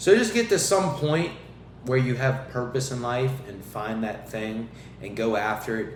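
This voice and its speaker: Speaking at a fairly slow pace in a medium pitch, a man uses lively intonation and big swings in loudness, with audible room echo around him. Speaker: podcast host and fitness coach. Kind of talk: motivational monologue. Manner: stumbling, repeats words.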